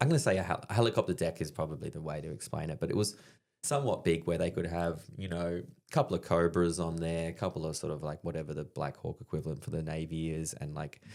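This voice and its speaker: A man with a very deep, low pitch in an Australian accent, very fast pace and ordinary pitch variation, on a very clean recording with a silent background. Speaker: army veteran and stand-up comedian. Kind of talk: casual chat, storytelling. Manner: animated.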